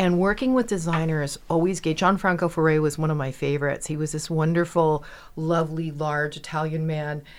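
In an American accent, a woman speaks with a plain, everyday voice, fairly low in pitch, at a moderate pace. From New York (Bronx) and Westport, Connecticut. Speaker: magazine editor. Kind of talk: casual interview. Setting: studio.

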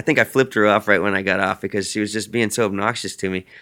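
A man with a Texan accent speaks in an energetic, bright and sharp tone at a fairly low pitch, recorded very cleanly against a silent background. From Central Texas, near San Marcos. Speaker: musician. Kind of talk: interview. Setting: hotel room.

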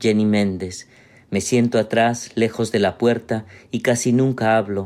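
A man's dark, mellow, monotone voice with flat intonation, in a very clean recording with a silent background. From Peru. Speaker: writer and literature professor. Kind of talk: reading aloud.

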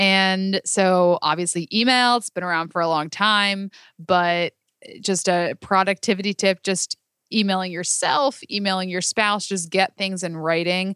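A plain, everyday voice at a fairly slow pace, fairly even in intonation, dry and close with no echo, on a very clean recording with a silent background. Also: woman, medium pitch for a woman. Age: 20s. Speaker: business owner. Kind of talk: casual chat. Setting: office.

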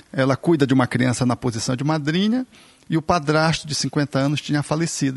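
A man speaks very fast in a fairly high, somewhat breathy voice. The sound is dry and close, with no echo. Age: 50s. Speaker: physician, therapist and spiritist speaker. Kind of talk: casual chat.

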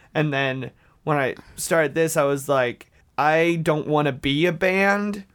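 Using an ordinary speaking voice with an American accent, a man talks at a fairly slow pace, his pitch fairly high, his pitch variation ordinary and his loudness very even. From US South, Dalton, Georgia. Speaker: pop musician. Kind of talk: casual interview chat.

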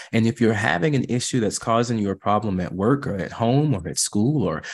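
On a very clean recording with a silent background, a man uses an ordinary speaking voice with lively intonation at a fairly quick pace. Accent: American. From US South. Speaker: therapist. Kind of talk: interview.

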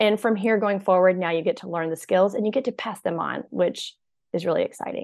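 A woman with an American accent speaks at a fairly quick pace in a normal speaking voice, medium in pitch with ordinary pitch variation. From US South. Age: 40s. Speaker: burnout expert and author. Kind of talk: podcast interview.

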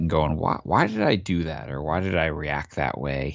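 Speaking at a moderate pace with an American accent, a man uses a very deep, low voice with vocal fry and ordinary pitch variation. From US Northeast, Long Island. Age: 40s. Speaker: youth soccer coach and author. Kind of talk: podcast interview.

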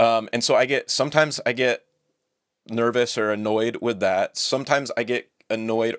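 A man with an unremarkable speaking voice talks at a medium pitch and a moderate pace. The recording is very clean, with a silent background and a dry, close sound with no echo. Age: 40s. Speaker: biblical scholar. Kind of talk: casual chat.

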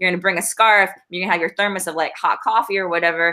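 Fairly low in pitch, a woman talks in a plain, everyday voice. Her pitch variation is ordinary. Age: 40s. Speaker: shoe company founder and astrologer. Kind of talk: casual chat. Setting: in person at home.

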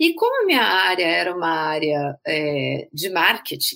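A bright, sharp tone with vocal fry. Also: woman. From Brazil, São Paulo. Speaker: healthcare marketing executive, patient experience specialist. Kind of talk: interview.

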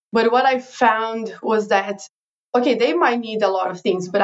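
With a Portuguese accent, a woman speaks at a fairly high pitch with ordinary pitch variation. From Brazil. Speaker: digital marketing consultant. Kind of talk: interview.

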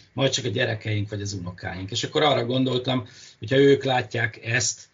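A man talks at a moderate pace with a medium pitch and ordinary pitch variation over noticeable background noise. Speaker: marine biologist. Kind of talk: interview. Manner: halting.

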